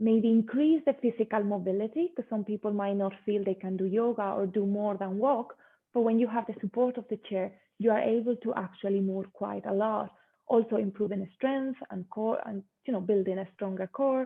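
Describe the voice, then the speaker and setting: With a Spanish accent, a woman speaks at a fairly high pitch with ordinary pitch variation. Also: moderate pace. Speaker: yoga teacher. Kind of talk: interview.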